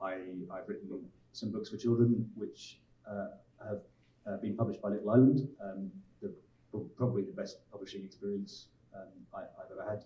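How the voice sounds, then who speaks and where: A man talks at a fairly quick pace. His speech is broken by long, frequent pauses. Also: big swings in loudness. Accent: English. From England. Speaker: author and writing lecturer. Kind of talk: panel talk.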